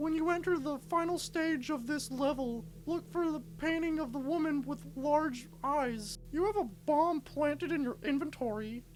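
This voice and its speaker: In a put-on character voice, a female-sounding speaker talks at a high pitch and a moderate pace over clear background noise. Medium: read story. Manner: grandiose, commanding.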